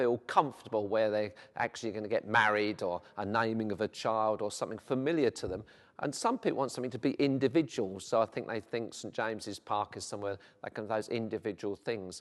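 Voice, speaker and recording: A man speaks at a fairly quick pace with a South London accent. His pitch varies in an ordinary way, and the background is quiet. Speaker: vicar. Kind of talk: interview. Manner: hesitant, with frequent fillers.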